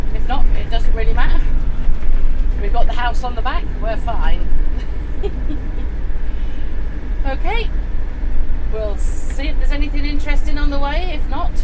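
A woman at a fairly slow pace, with long, frequent pauses and loud background noise. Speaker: travel vlogger. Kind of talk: casual vlog chat. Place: car. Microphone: phone near.

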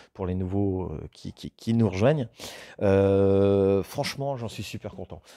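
Against a quiet background, a man speaks at a fairly slow pace. His voice is fairly low in pitch, with a dark, mellow tone. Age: 40s. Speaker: woodworking YouTuber. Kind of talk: casual vlog talking to viewers. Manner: hesitant, many fillers and repetitions. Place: workshop.

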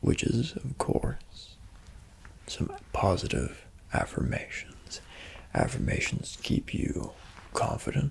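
A man whispering in a gentle tone at a very slow pace. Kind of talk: soft role-play talk, guided relaxation. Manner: gentle soft-spoken ASMR voice. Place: home room.

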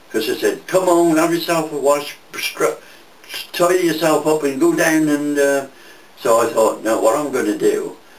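In a room with audible echo, a man talks at a moderate pace, leaving long, frequent pauses. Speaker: war veteran. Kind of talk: interview answer. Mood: lively, amused storytelling. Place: home room. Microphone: camera far.

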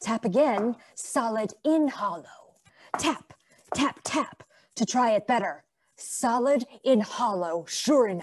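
A woman performs a put-on character voice that is gruff. It sits at a fairly high pitch and moves at a fairly slow pace. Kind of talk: 1900s stage melodrama. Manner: gruff, speaks of himself in third person.

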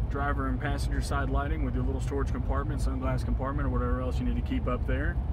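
The sound is dry, with no echo. Loud background noise runs underneath. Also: man. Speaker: car salesperson. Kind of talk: product walkthrough commentary. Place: car.

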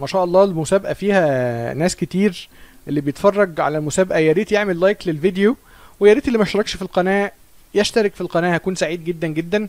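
A high-pitched man speaks at a fairly quick pace with ordinary pitch variation, the sound dry with no echo. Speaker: chess streamer. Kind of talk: live stream commentary. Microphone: studio mic.

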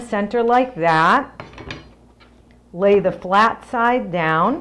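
Speaking at a very slow pace, a woman uses ordinary pitch variation. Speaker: cooking show host. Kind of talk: tutorial. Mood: cheerful, friendly. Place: kitchen.

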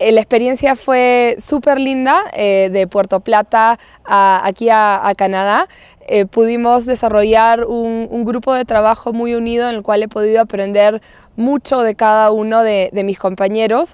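Fairly slow speech with fairly even intonation, a dry sound with no echo and a quiet background. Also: woman, fairly high pitch for a woman. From Peru. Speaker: nonprofit director, marine conservationist. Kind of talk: interview testimonial. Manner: hesitant, many fillers and repetitions. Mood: warm, positive. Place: open country.

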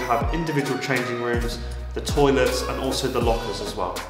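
A man's voice with audible room echo and clear music in the background. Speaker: presenter. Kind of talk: promotional tour walkthrough. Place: gym.

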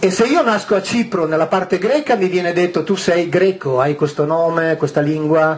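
A man talks at a fairly quick pace in a high pitch. His pitch varies in an ordinary way. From northwest Italy near the French border. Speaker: author and public lecturer on ancient texts. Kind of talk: lecture to a live audience. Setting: hall with a large live audience. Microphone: headset.

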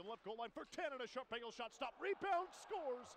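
An excited man's voice, extremely high in pitch, very fast and lively in intonation, over noticeable background noise. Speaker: hockey play-by-play announcer. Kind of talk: live play-by-play commentary over game highlights. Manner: rapid-fire, clipped play-by-play delivery; excited, rising-pitch calls on goals.

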